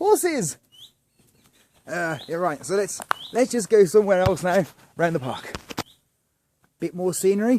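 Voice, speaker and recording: A man with a southern English accent speaks at a moderate pace in a high voice. His intonation is lively, broken by long, frequent pauses. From southern England. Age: 40s. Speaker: campsite vlogger. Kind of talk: casual video review tour. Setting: outdoors at campsite. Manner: halting, many fillers; whispering.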